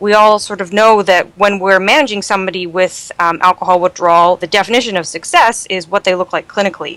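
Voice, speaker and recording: A woman with a Canadian accent at a very fast pace, medium in pitch, with fairly even intonation and a dry, close sound with no echo. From Canada. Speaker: toxicology fellow, emergency physician. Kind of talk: medical podcast interview.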